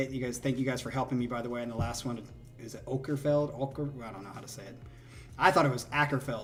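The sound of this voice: Over background music, a man with a medium pitch talks at a very fast pace with fairly even intonation and big swings in loudness.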